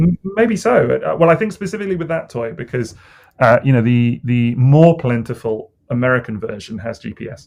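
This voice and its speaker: A man with a British accent talks at a fairly quick pace in a medium pitch. His intonation is lively and his loudness swings a lot. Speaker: toy collector podcast co-host. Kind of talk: casual chat. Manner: relaxed.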